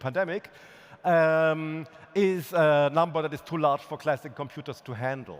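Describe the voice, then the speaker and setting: A man with a fairly high pitch and a plain, everyday voice speaks at a moderate pace. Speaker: physicist giving keynote. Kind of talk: conference keynote.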